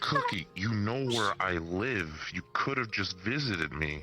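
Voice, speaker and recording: A man puts on a character voice at a fairly low pitch and a fairly slow pace. Clear music plays in the background. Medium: game stream. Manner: casual, blunt, wry.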